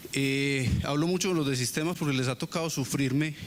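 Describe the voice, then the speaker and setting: A man speaks with a fairly high pitch and fairly even intonation. Audible room echo is present. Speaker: university professor. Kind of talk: lecture. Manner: monotone; hesitant, many fillers.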